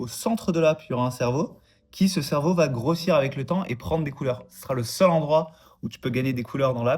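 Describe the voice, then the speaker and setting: Here a man talks at a fairly quick pace in a fairly high, somewhat breathy voice with ordinary pitch variation. His loudness swings widely. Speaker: vlogger and app developer. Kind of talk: casual vlog.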